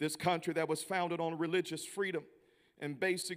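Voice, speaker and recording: A man with a Southern US accent speaks at a fairly high pitch. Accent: Southern American. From US South, Memphis, Tennessee. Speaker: visiting preacher. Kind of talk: sermon. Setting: church.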